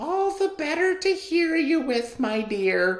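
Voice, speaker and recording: A squeaky put-on character voice with a high pitch and very wide pitch swings moves at a fairly slow pace. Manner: feigned sweet grandmotherly tone.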